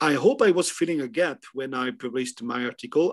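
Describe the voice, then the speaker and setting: Speaking at a moderate pace, a man with a French accent has a fairly high pitch. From France. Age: 50s. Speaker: historian. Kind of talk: interview. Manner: halting.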